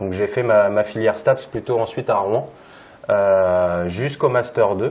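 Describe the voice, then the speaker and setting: A man is speaking. His pace is fairly slow. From Normandy, France (Évreux). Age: 30s. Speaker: local government sports manager. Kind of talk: conference talk. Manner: hesitant, many fillers.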